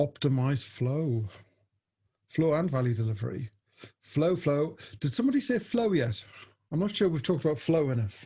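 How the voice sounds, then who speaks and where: A man with a dark, mellow, somewhat breathy tone speaks at a fairly high pitch with very wide pitch swings, very even loudness, and long, frequent pauses. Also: moderate pace. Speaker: agile coach and trainer. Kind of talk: webinar presentation. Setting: video call. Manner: casual, conversational.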